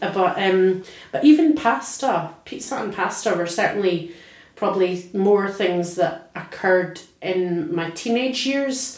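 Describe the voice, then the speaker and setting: Lively intonation and an Edinburgh accent come through at a fairly slow pace. Audible room echo and noticeable background noise are present. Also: woman, medium pitch for a woman. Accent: Scottish (Edinburgh). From Scotland, near Edinburgh. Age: 40s. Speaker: oral history interviewee. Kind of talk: personal reminiscence interview.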